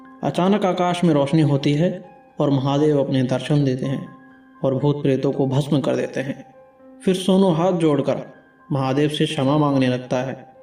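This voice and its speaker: A man's voice with ordinary pitch variation comes through as music plays in the background. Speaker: storyteller. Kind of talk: animated horror story narration.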